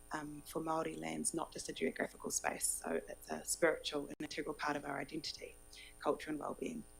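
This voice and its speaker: A woman talks at a fairly quick pace over music in the background. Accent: New Zealand. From New Zealand, Kapiti Coast. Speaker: local government advisor on exchange visit. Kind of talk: formal presentation.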